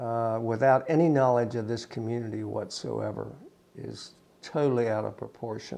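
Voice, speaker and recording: A man speaks at a moderate pace with an Appalachian accent, his medium-pitched voice keeping a fairly even intonation. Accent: Appalachian American. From US, West Virginia. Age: 60s. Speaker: prison site manager. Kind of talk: interview. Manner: halting.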